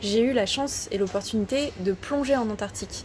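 A woman speaks at a fairly high pitch with ordinary pitch variation. Background noise is noticeable. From France, Ardèche. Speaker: underwater photographer. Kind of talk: interview. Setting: outdoors.

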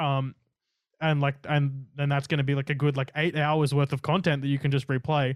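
Speaking fairly quickly with an Australian accent, a man uses a fairly high voice in a flat monotone at a very even loudness. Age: 20s. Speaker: gaming streamer. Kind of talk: casual chat. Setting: room with LED lights.

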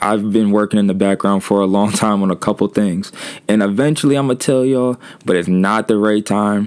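A man speaks at a fairly quick pace, his fairly low pitch showing ordinary variation. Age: 20s. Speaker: podcast host. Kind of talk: casual solo monologue. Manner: casual, hesitant with fillers.

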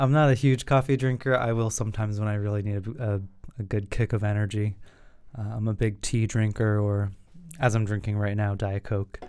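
In a very clean recording with a silent background, a man with an unremarkable speaking voice talks at a fairly quick pace, fairly low in pitch with fairly even intonation. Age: 20s. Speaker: podcast host, graduate student. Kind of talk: casual chat.

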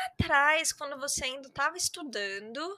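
A woman uses a raised, projected voice with a bright, sharp tone. Her intonation is lively and her pace is moderate. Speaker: podcast host, English teacher. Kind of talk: casual interview chat.

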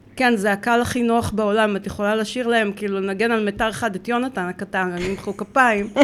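A woman's monotone, flat delivery with hardly any pauses. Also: medium pitch for a woman, fairly quick pace. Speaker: dog trainer and cat behavior consultant. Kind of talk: casual interview chat. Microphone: too far from the mic.

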